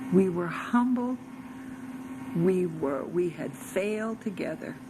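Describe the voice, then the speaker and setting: With an American accent, a woman speaks at a very slow pace amid noticeable background noise and audible room echo. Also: medium pitch for a woman, lively intonation. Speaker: religious storyteller. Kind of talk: personal testimony.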